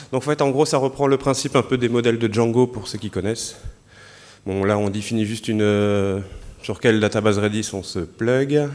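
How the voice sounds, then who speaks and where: The man speaks at medium pitch and a moderate pace with ordinary pitch variation. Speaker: software developer giving a lightning talk. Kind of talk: conference lightning talk with live demo. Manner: hesitant, many fillers.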